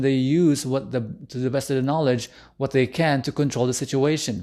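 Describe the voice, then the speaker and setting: At a fairly quick pace and with a non-native accent, the speaker has a dark, mellow tone and fairly even intonation over a quiet background. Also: man. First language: not English. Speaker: relationship coach. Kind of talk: live stream talk. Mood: earnest, personal. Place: home room. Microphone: studio mic.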